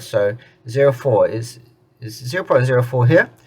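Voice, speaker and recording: A man's medium-pitched voice comes across as somewhat breathy. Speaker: tech tutorial youtuber. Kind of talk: screen-recorded tutorial. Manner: casual, with filler words; stuttering at times.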